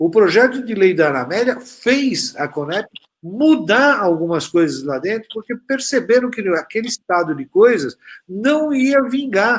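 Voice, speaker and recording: Delivery is fairly slow. Pitch swings across a very wide range. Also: man. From Brazil. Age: 60s. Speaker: pharmaceutical industry representative. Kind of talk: panel discussion. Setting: online live stream. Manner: halting, many fillers.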